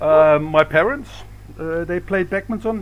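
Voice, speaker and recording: Fairly high-pitched male voice with ordinary pitch variation over noticeable background noise. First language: Dutch. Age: 60s. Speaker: badminton coach. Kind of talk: interview. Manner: hesitant, many fillers.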